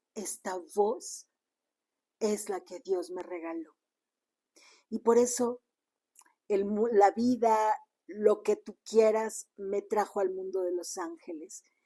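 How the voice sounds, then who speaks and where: Against a quiet background, a woman of medium pitch with a dark, mellow tone speaks very slowly with long, frequent pauses, fairly even intonation and big swings in loudness. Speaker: spiritual teacher. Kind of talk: personal testimony. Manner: sudden rises in volume.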